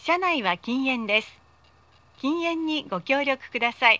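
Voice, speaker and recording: A raised, projected voice with a bright, sharp tone and lively intonation moves at a fairly slow pace. The sound is dry and close, with no echo. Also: woman. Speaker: voice actor. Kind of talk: automated train announcement. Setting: PA system. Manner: polite, formal.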